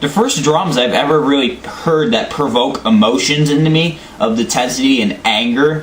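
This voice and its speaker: Amid noticeable background noise and audible room echo, a man speaks at a moderate pace with lively intonation. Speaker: album reviewer. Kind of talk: casual monologue review. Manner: halting, stuttering.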